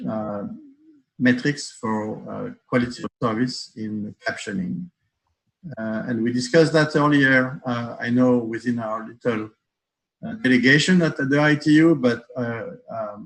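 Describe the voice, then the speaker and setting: Speaking at a fairly slow pace with long, frequent pauses, a man of medium pitch uses ordinary pitch variation and talks with a French accent. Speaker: accessibility expert panelist. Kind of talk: panel discussion. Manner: halting, many fillers.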